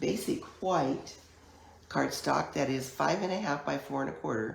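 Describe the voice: With vocal fry and a low pitch, a woman talks at a moderate pace with ordinary pitch variation, surrounded by strong room echo.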